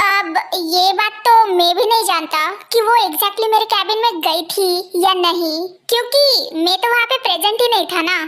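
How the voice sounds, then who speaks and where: At a moderate pace, a woman performs a put-on character voice pitched extremely high. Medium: audio drama.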